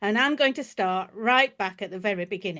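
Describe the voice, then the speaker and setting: A woman's fairly high voice with very wide pitch swings and a slight Yorkshire accent, against a quiet background. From Yorkshire, northern England. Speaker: historian and podcast host. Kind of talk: podcast introduction.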